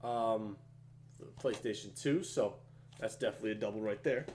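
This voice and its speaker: A man speaks very fast. His tone is animated. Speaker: video game collector YouTuber. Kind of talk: casual haul video.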